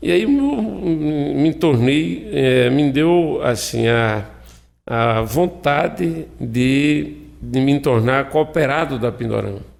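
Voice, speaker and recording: A man speaks very slowly at a medium pitch with lively intonation. His loudness stays very even. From Brazil, Alagoas (Viçosa, Zona da Mata). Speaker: cooperative president, agricultural technician. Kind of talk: radio interview. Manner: halting, many fillers.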